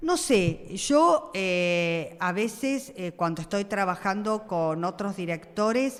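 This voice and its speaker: Very slow delivery from a woman of medium pitch, with lively intonation. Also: hardly any pauses. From Argentina, Buenos Aires (Flores). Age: 60s. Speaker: school principal. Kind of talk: interview. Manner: hesitant, many fillers.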